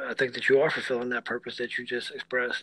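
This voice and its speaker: This man's voice has a warm tone and a medium pitch. Noticeable background noise can be heard. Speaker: podcast host. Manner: warm, supportive.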